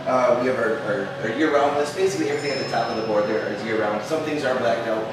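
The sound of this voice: A fast-talking man amid audible room echo and clear background noise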